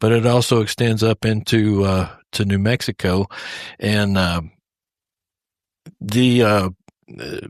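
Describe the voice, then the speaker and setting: In a dry, close recording that is very clean with a silent background, a man with a Texas accent speaks at a fairly low pitch and a fairly slow pace, with fairly even intonation and long, frequent pauses. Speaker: podcast host. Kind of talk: interview podcast. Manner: hesitant, many fillers.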